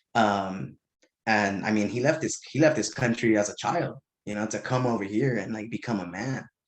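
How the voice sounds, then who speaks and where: The speaker is a man with a fairly low pitch. His pitch varies an ordinary amount. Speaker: podcast guest, real estate. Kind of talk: casual chat. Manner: fast.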